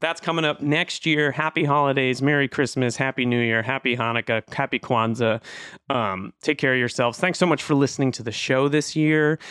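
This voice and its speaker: A man with a medium pitch, ordinary pitch variation and a normal speaking voice. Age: 40s. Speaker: podcast host. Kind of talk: casual chat.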